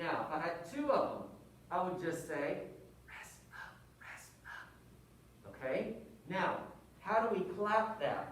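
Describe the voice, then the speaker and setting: The speech moves at a very slow pace. Noticeable background noise runs underneath it. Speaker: music teacher. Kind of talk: tutorial. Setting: wearing a mask. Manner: rhythmic counting aloud.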